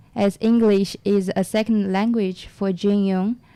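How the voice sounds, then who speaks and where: A woman talks at a fairly slow pace in a dark, mellow tone with monotone, flat intonation. The recording is very clean, with a silent background. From China. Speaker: radio co-host. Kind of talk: radio show introductions. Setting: radio studio.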